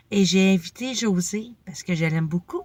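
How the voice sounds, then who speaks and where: The voice is somewhat breathy, with a Quebec accent and ordinary pitch variation. The sound is dry and close, with no echo. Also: woman. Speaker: motivational vlogger. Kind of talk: casual vlog monologue.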